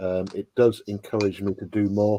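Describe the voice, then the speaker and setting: A man with an English accent, his fairly low voice dark and mellow in tone. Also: very clean recording, silent background. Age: 50s. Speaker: toy and model kit YouTuber. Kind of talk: casual livestream chat.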